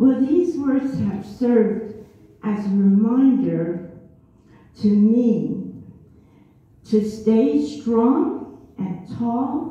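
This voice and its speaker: Speaking at a very slow pace with long, frequent pauses, a woman uses lively intonation at a fairly high pitch. Noticeable background noise and audible room echo surround her. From Germany. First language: German. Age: 70s. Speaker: community show performer. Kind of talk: storytelling at a holiday show. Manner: halting.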